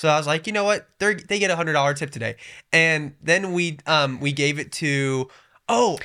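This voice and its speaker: A man with a fairly high pitch speaks in a bright, sharp tone. The recording is very clean, with a silent background. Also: ordinary pitch variation, moderate pace. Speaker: podcast host. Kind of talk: casual chat.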